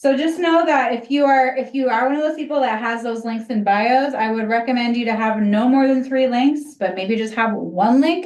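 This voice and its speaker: A woman speaks loudly at a moderate pace in a high voice, with ordinary pitch variation and hardly any pauses. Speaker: social media instructor. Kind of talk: class workshop.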